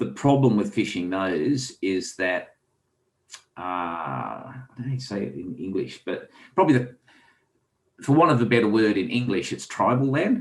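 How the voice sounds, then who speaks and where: The speaker has a strong Australian accent and vocal fry, talking at a moderate pace with lively intonation and long, frequent pauses. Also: man, medium pitch for a man. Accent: heavy Australian. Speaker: author and angler. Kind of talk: casual interview chat.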